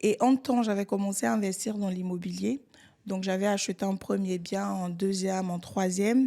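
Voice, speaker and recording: A woman speaks at a moderate pace in a dark, mellow tone, medium in pitch with ordinary variation. The recording is very clean, with a silent background. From Côte d'Ivoire. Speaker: real estate entrepreneur. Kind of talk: podcast interview.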